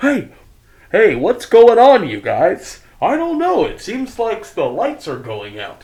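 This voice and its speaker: Shouting in a put-on character voice, a man hits an extremely high pitch with big swings in loudness. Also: fairly slow pace. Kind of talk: roleplaying game narration. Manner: alarmed, shouting.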